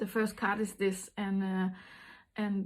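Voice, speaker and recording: A woman's flat, monotone delivery in a Danish accent. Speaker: intuitive card reader. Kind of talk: card reading monologue. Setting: small house with door open. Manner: halting, many fillers.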